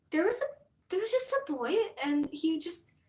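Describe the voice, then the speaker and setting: An animated woman with an American accent, at a moderate pace. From US. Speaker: streamer. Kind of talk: casual chat. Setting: live stream. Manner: rambling, animated.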